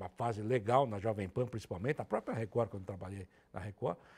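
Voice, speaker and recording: A man speaks in a somewhat breathy voice. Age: 60s. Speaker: sports radio reporter and commentator. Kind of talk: interview, casual conversation.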